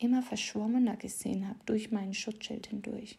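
Fairly high for a woman, her voice is somewhat breathy, with a dark, mellow tone and monotone, flat intonation. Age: 30s. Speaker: podcast host, confidence coach. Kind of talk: casual monologue with poem reading.

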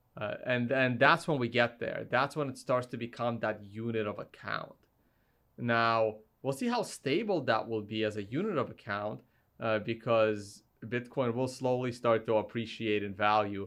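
A man with an American accent and an ordinary speaking voice, medium pitch, fairly even intonation and a moderate pace, against a quiet background. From Russia, raised mostly in the US. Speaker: Bitcoin YouTuber and conference organizer. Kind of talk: casual chat. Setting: studio.

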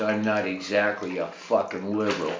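A man talking at a moderate pace over noticeable background noise. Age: 70s. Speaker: podcaster and military veteran. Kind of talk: rant monologue. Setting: home bathtub. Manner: animated.

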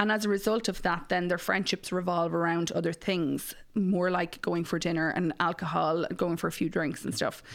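A woman with an Irish Midlands accent speaks at a moderate pace in a fairly low voice, her intonation fairly even, her loudness very even and her pauses few, on a very clean recording with a silent background. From Ireland, Mullingar (Westmeath). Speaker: matchmaker and podcast host. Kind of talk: casual interview chat.

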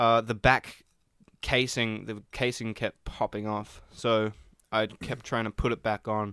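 In a dry, close sound with no echo, a man with an Australian accent speaks at a medium pitch with monotone, flat intonation and a bright, sharp tone. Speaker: podcast co-host and band musician. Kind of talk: casual chat.

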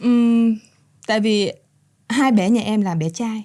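A woman speaks with a somewhat breathy, dark and mellow tone. The recording is very clean, with a silent background. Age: 20s. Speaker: model and young mother. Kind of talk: interview. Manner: mature-sounding for her age.

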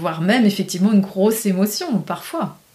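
A woman speaks over noticeable background noise. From rural France. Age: 50s. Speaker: painter and graphic designer. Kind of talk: casual interview.

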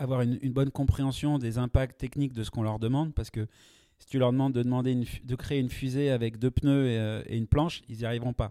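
The voice has a dark, mellow tone and ordinary pitch variation at a fairly quick pace, recorded dry and close with no echo, very clean against a silent background. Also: man. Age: 40s. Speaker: product manager. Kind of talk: interview. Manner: hesitant, frequent fillers and repetitions.

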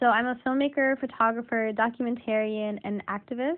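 With an American accent, a woman uses a normal speaking voice, fairly high in pitch, at a moderate pace with fairly even intonation. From Washington, D.C. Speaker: filmmaker and activist. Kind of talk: self-introduction.

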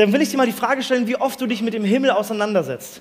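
Noticeable background noise beneath speech of ordinary pitch variation. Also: man. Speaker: preacher. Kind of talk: sermon to a live youth audience. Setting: live in a room with audience. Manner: lively, conversational, explains with everyday examples; warm, earnest, inviting.

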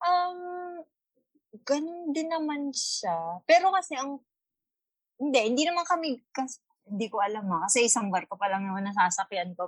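A woman speaks at a high pitch and a moderate pace. Her pitch swings very widely, and the sound is dry and close with no echo. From Philippines. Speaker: cruise ship photographer. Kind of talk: casual chat. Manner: stumbling over words.

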